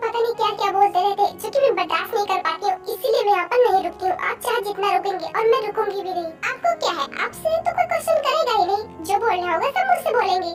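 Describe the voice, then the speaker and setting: A woman puts on a character voice at an extremely high pitch, rushing along at a very fast pace with hardly any pauses against clear background noise. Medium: fan dub. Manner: respectful but exasperated.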